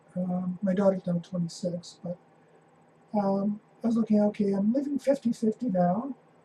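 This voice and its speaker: A woman with a medium pitch speaks at a moderate pace with ordinary pitch variation. The sound is dry and close, with no echo. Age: 50s. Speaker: interviewee sharing transition story. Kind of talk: interview. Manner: halting.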